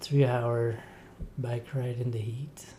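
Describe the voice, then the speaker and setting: In a relaxed tone, a man speaks at a very slow pace, with audible room echo and noticeable background noise. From Quebec, Rivière-du-Loup. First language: French. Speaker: triathlete. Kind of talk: interview.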